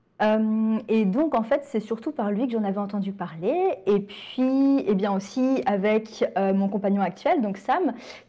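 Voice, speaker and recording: A woman talks at a very slow pace with a fairly high pitch. Her tone is dark and mellow, and her intonation is lively. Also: hardly any pauses. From France, Sarthe (Pays de la Loire). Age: 20s. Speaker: miniature painting youtuber. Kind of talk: casual interview. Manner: hesitant, many fillers.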